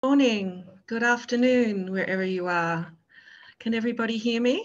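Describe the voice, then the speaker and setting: A woman with a strong Australian accent speaks at a fairly high pitch. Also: ordinary pitch variation, moderate pace. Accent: Australian, thick. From Australia, Melbourne. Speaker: public health presenter. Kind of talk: webinar presentation.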